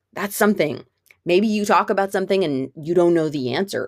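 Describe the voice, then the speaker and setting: Lively in intonation, a woman with a normal speaking voice talks at a fairly quick pace. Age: 40s. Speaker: unschooling parent and vlogger. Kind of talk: casual monologue. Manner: casual with frequent fillers.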